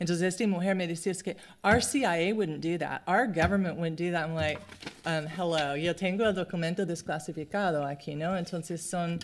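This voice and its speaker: A woman with a non-native accent talks at a moderate pace, her fairly low voice keeping a fairly even intonation. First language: English (speaking Spanish). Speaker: anthropologist. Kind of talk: lecture. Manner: halting.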